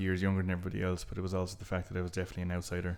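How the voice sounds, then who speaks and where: Over a very clean recording with a silent background, a man with a west of Ireland accent talks very fast in a very deep, low voice. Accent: west of Ireland Irish. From Ireland, south Galway. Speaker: genealogist and local historian. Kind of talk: casual interview chat. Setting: in a house, face-to-face.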